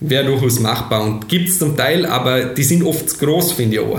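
This man talks at a fairly quick clip, with ordinary pitch variation at a medium pitch. The room echoes audibly, and background noise is noticeable. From Austria, Vorarlberg. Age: 20s. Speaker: software company founder and managing director. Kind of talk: interview. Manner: hesitant, many fillers.

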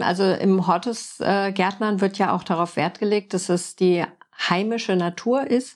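A woman speaks at a moderate pace with fairly even intonation, in a normal speaking voice at a medium pitch. The recording is very clean, with a silent background. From Frankfurt, Germany. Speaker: podcast host and permaculture designer. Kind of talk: interview.

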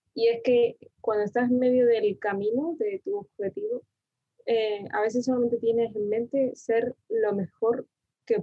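Fairly slow female speech in a normal speaking voice, its pitch varying in an ordinary way. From Argentina, Buenos Aires province (Mar del Plata area), moved to Tenerife at 7. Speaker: designer, design contest winner. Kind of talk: interview.

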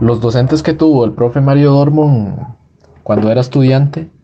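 The voice has a dark, mellow tone, somewhat breathy, moving at a moderate pace with ordinary pitch variation. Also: man. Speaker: student podcast host. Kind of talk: interview.

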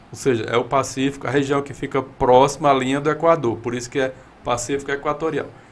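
At a very fast pace, a man speaks in a fairly high pitch with monotone, flat intonation and big swings in loudness. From Ceará, Brazil (Iguatu). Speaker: meteorology professor. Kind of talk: interview.

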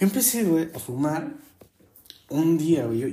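A dark, mellow tone marks this male speaker. His delivery carries some breathiness. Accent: Mexico City. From Mexico City. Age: 20s. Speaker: podcaster. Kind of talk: casual monologue. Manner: animated.

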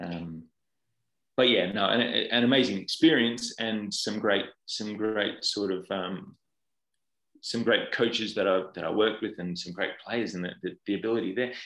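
An Australian accent marks this man's voice, which is fairly low in pitch. He speaks at a moderate pace with ordinary pitch variation. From Australia, Perth. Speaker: football goalkeeping coach. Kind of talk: interview.

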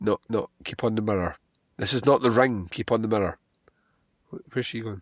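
A man with a Scottish accent at medium pitch and moderate pace, ordinary pitch variation, in a dry, close sound with no echo. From Scotland. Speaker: podcast host. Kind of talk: movie commentary. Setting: home recording.

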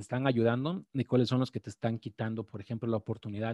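A man speaks at a fairly quick pace. His voice has a dark, mellow tone. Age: 40s. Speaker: trading podcast host. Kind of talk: live-streamed talk on trading psychology. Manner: halting, many fillers and repetitions.

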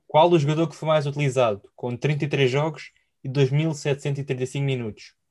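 A man speaks somewhat breathily at a fairly high pitch. His pace is fairly slow and his intonation fairly even. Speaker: football podcast host. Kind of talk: casual chat.

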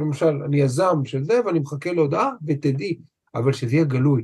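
The speaker sounds somewhat breathy and keeps a moderate pace. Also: man. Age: 50s. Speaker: trauma therapist. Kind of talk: interview conversation.

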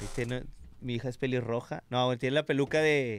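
A man with a Mexican accent speaks at medium pitch and a moderate pace. The recording is very clean, with a silent background and a dry, close sound with no echo. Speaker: former radio host. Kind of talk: casual chat. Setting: studio.

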